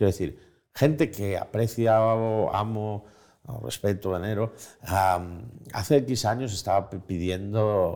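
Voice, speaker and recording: A man with a fairly low pitch and a dark, mellow tone talks at a very slow pace with ordinary pitch variation, recorded very cleanly against a silent background. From Spain. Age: 40s. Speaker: journalist and writer. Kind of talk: interview conversation. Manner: halting.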